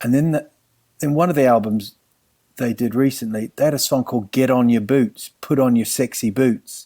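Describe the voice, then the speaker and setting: With a New Zealand accent, this man talks at a moderate pace in a dark, mellow tone of medium pitch, with ordinary pitch variation and very even loudness, recorded in a dry, close sound with no echo. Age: 40s. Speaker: comedian. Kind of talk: casual chat.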